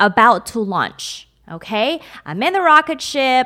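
This woman's high-pitched, bright, sharp voice has an animated tone and very wide pitch swings at a fairly slow pace. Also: very clean recording, silent background. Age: 30s. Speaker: podcast host. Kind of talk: solo motivational podcast monologue.

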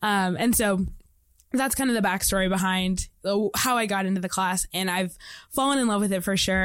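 A woman speaks in an unremarkable speaking voice with an American accent, medium in pitch and at a fairly quick pace. The recording is very clean, with a silent background. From US Midwest, Indianapolis, Indiana. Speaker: university student. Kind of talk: casual interview. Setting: studio.

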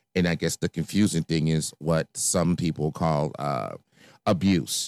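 In an American accent, a man speaks with a very deep, low pitch, vocal fry and ordinary pitch variation, the sound dry and close with no echo on a very clean recording with a silent background. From Chicago, South Side. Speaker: podcast host. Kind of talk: personal monologue. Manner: hesitant, many fillers.

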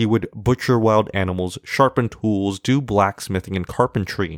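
A man speaks in an unremarkable speaking voice at a fairly low pitch and moderate pace. The sound is dry and close with no echo. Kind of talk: storytelling folktale, reading a Tuvan tale aloud in formulaic fairy-tale narration.

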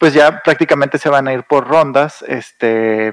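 A man with an ordinary speaking voice talks at a fairly slow pace, medium in pitch with ordinary pitch variation, recorded with a dry, close sound and no echo. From northern Mexico, Saltillo. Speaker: board game enthusiast. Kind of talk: casual chat.

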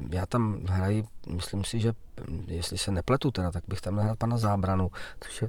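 A man at fairly low pitch, fairly quick, with ordinary pitch variation, on a very clean recording with a silent background. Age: 40s. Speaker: actor. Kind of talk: interview.

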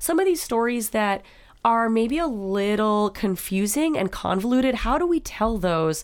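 On a very clean recording with a silent background, a woman talks at a moderate pace in a fairly high pitch, with very wide pitch swings and very even loudness. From North Dakota. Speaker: startup program director. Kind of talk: interview.

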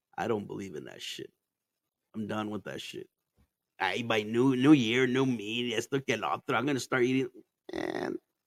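A man's loudness swings a lot as he speaks at a moderate pace with long, frequent pauses, the sound dry and close with no echo. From Arizona, born in Mexico. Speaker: podcast host. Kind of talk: casual chat. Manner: animated.

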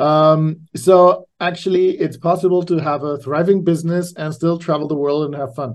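This man has a German accent and a fairly high pitch. He keeps a moderate pace with fairly even intonation and hardly any pauses. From Austria. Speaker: podcast host. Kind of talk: interview, casual chat.

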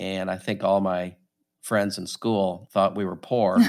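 A plain, everyday voice, a man with an American accent and a fairly low pitch speaks at a moderate pace and in a fairly even intonation, in a very clean recording with a silent background. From St. Louis, Missouri. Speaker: company CEO. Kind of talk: casual interview.

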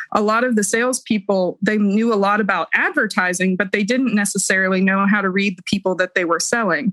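A woman speaks in a normal speaking voice at a medium pitch, fairly quick and with hardly any pauses. Her loudness is very even, her intonation fairly even, and the sound dry and close with no echo. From Ohio, US Midwest. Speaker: podcast panel guest, cancer patient. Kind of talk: casual chat.

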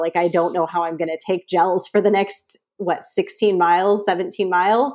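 A woman with a Californian accent, medium pitch and ordinary pitch variation, at a fairly quick pace. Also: quiet background. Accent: Californian American. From San Francisco Bay Area. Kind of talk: casual interview chat. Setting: live video call.

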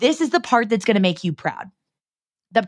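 In a very clean recording with a silent background, a woman with a fairly high pitch speaks with lively intonation. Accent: West Coast American. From US Pacific Northwest, Seattle. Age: 30s. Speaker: podcast host and entrepreneur. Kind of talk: heartfelt solo pep talk, confiding like a girlfriend. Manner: casual, filler-heavy with frequent 'like'; warm, earnest and encouraging, reflective inner-monologue questioning.

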